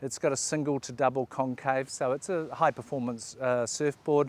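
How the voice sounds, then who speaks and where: A man with a New Zealand accent speaks at a medium pitch and moderate pace with fairly even intonation, in a dry, close sound with no echo. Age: 60s. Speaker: surfing vlogger. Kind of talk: casual talk to camera, gear review. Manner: halting, many fillers.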